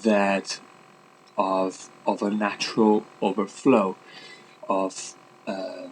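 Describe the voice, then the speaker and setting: A man speaks with a non-native accent. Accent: non-native English speaker. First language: Italian. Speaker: vlogger and life coach. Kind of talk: casual vlog monologue. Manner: hesitant, many fillers.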